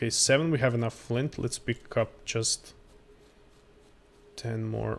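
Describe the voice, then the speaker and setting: A man in a Croatian accent. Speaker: gaming streamer. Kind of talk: live gameplay commentary. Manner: halting.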